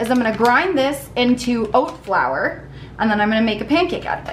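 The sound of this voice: A woman speaks against faint background noise.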